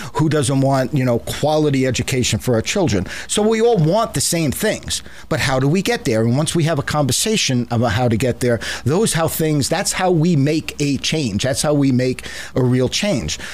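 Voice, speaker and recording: In an American accent, a man with a fairly high pitch speaks at a moderate pace with lively intonation and very even loudness. Noticeable background noise runs under his voice. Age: 60s. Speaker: political talk show host and newspaper owner. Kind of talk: radio interview. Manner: halting, repeats words.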